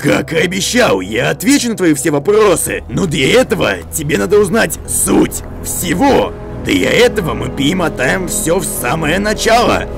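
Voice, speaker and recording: A cartoonish character voice speaks at a moderate pace over loud background music. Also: man, high pitch for a man. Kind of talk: cartoon dub acting. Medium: fan dub. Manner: calm, wise, explanatory.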